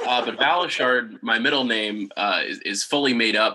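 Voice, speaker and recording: Amid noticeable background noise, the speaker keeps a moderate pace with ordinary pitch variation. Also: man. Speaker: toy and tape collector. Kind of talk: casual chat.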